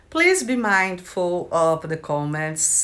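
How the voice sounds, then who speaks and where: Lively intonation at a very slow pace, with a Brazilian accent. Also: woman. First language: Brazilian Portuguese. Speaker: writer and video creator. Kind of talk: casual vlog introduction.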